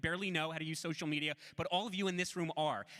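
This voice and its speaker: Delivered at a very fast pace, the voice sounds animated, with a bright, sharp tone. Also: man. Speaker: student activist. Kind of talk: panel talk.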